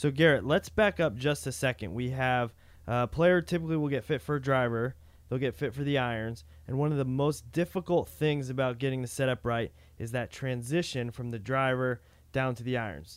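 A man with an unremarkable speaking voice talks at a medium pitch and a fairly quick pace. His intonation is lively. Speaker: podcast co-host. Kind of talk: casual podcast chat.

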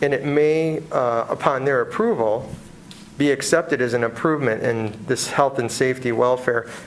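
A man talks at a very even loudness. Noticeable background noise sits behind him. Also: medium pitch for a man, ordinary pitch variation, moderate pace. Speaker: building designer. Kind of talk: public meeting testimony. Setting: city board hearing room with microphones.

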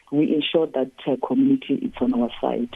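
Her voice very deep and low, a woman speaks at a moderate pace with very wide pitch swings. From South Africa, Mpumalanga lowveld. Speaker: park ranger. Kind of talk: radio phone interview. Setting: phone call. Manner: hesitant, many fillers.

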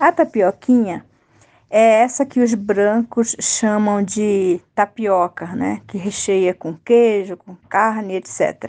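Very slowly, a woman speaks in a dark, mellow tone of medium pitch with ordinary pitch variation and big swings in loudness, recorded dry and close with no echo. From Rio Negro region, Amazonas, Brazil. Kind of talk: recipe explanation.

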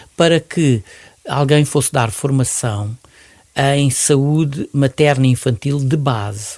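A man with a fairly high pitch talks very slowly. His loudness stays very even. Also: ordinary pitch variation. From Mozambique. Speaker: retired pediatrician and neonatologist. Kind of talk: interview.

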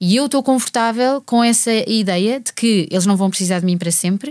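Her pitch fairly high and varying in an ordinary way, a woman speaks at a moderate pace in a dry, close sound with no echo. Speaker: singer and mother. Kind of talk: casual chat. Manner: halting.

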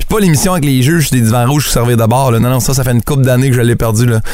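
Music plays in the background as a medium-pitched man with a Quebec accent speaks with ordinary pitch variation. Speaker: radio humor columnist. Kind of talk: comic radio segment.

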